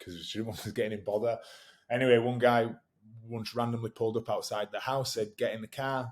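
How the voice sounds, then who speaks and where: On a very clean recording with a silent background, a man with a Yorkshire accent speaks very fast at a medium pitch with fairly even intonation. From northern England, West Yorkshire (Batley). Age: 30s. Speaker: rugby league player and fitness coach. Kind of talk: casual interview. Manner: halting, many false starts.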